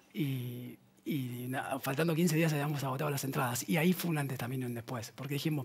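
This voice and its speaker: A man's somewhat breathy voice at a very fast pace, with ordinary pitch variation. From La Plata, Argentina; Argentina. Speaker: band musician; guest. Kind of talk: casual chat. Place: studio. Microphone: headset.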